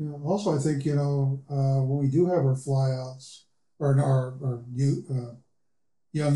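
A man with an American accent has a fairly high pitch, a dark, mellow tone, a somewhat breathy quality and fairly even intonation. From Seattle, Washington. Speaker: pilot, aviation club member. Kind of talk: casual interview. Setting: studio.

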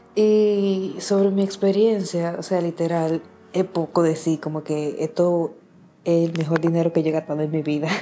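In a Dominican accent, a woman speaks at a fairly slow pace. Her pitch is fairly low and her intonation fairly even. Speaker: podcast staff member. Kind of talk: recorded voice message.

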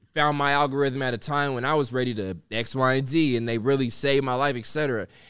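This man has an ordinary speaking voice, medium in pitch and moderate in pace, on a very clean recording with a silent background. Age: 30s. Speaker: podcast host. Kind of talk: casual chat.

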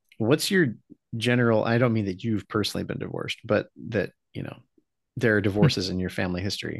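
A man's medium-pitched voice races along at a very fast pace. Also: ordinary pitch variation. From Philippines. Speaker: podcast host. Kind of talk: casual chat.

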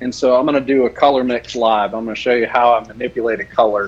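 A man at medium pitch at a very fast pace, with noticeable background noise. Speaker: custom soft plastic lure maker. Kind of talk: casual chat and live tutorial.

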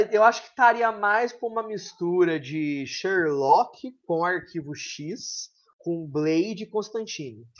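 A man's high voice at a very slow pace with hardly any pauses. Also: lively intonation. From São Paulo state near Minas Gerais border. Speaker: author and teacher. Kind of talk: interview.

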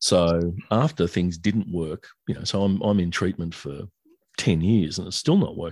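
In a very clean recording with a silent background, a man with a very deep, low pitch and an Australian accent speaks at a moderate pace with ordinary pitch variation. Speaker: author and songwriter. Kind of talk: interview.

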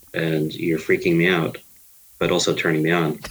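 In an American accent, a man speaks at a moderate pace with a very deep, low pitch. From Queens, New York. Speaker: movie writer, podcast guest. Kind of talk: casual chat about movies.

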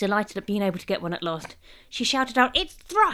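The intonation is lively. A text is read aloud in a natural voice.

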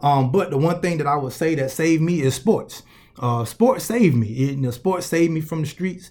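Fairly quick male speech with a Southern US accent. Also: fairly high pitch for a man, lively intonation. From US South, Columbus, Georgia. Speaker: motivational speaker and coach. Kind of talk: motivational speech.

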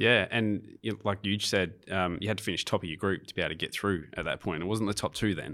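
In an Australian accent, a man talks at a very fast pace with hardly any pauses, his fairly low voice bright and sharp in tone with fairly even intonation. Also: very clean recording, silent background. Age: 40s. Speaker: podcast host. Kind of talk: casual interview.

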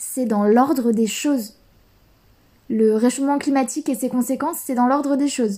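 A woman's high-pitched voice unfolds at a fairly slow pace. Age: 20s. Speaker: podcast host. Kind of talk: solo podcast monologue. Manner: hesitant, with fillers.

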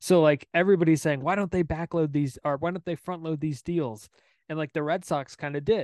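A plain, everyday voice from a man, fairly high in pitch, with fairly even intonation and a fairly quick pace. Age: 20s. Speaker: baseball podcast host. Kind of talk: casual chat.

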